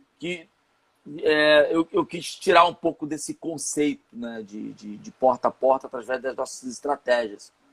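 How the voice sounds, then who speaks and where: A normal speaking voice moves at a fairly slow pace with ordinary pitch variation, the sound dry and close with no echo. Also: man, fairly high pitch for a man. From Rio de Janeiro, São Gonçalo. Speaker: entrepreneur and marketing consultant. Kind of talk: interview, live online chat.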